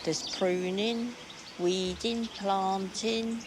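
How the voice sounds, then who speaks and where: A woman with a Kent accent at medium pitch, fairly slow and fairly even in intonation, with noticeable background noise. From Kent, England. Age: 60s. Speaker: volunteer gardener. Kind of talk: interview.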